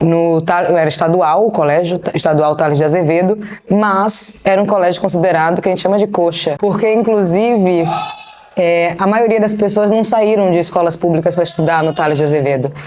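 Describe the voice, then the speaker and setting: The speech comes in a Bahian accent at a fairly quick pace, with very even loudness. Pitch varies in an ordinary way, and there is noticeable background noise. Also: woman, fairly low pitch for a woman. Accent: Bahian (northeastern Brazilian), marked. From Brazil, Bahia (Salvador). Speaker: business strategist and investor. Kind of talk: interview. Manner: casual.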